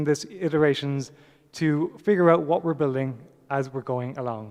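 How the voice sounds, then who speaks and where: An Irish accent at a moderate pace, with ordinary pitch variation. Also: man. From Ireland. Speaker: software developer, conference speaker. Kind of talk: conference talk. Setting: stage with audience.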